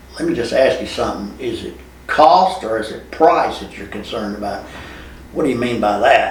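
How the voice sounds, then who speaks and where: Amid noticeable background noise, a man talks at a fairly quick pace. Audible room echo surrounds his voice. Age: 70s. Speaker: TV installation and security camera business owner. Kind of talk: podcast interview. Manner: halting, with repeated words.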